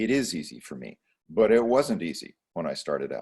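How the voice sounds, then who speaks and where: In a quiet setting, a man talks with lively intonation at a moderate pace. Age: 60s. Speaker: chiropractor and holistic practitioner. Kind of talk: podcast interview. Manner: halting, many fillers and repeated words.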